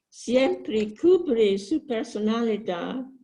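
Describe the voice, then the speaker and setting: The voice is somewhat breathy, with a dark, mellow tone. It moves at a very slow pace. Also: woman. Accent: English. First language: English (speaking Spanish). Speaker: book club participant. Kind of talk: book discussion. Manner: simple, careful phrasing.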